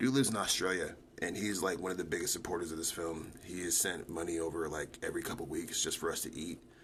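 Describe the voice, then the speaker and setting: A man speaks at a very fast pace with hardly any pauses, in a very deep, low pitch. The room echo is audible. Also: ordinary pitch variation. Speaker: multimedia artist and livestreamer. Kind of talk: casual livestream chat. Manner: animated.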